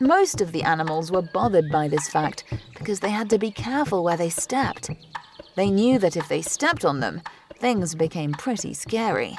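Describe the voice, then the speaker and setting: With music playing in the background, a woman at a medium pitch talks at a moderate pace with lively intonation. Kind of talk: sleep story.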